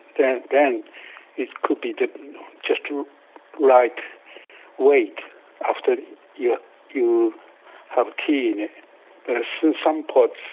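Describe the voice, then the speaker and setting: With a Japanese accent, a man speaks at a very slow pace with long, frequent pauses amid noticeable background noise. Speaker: potter and kiln builder. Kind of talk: casual interview. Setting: phone call. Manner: halting.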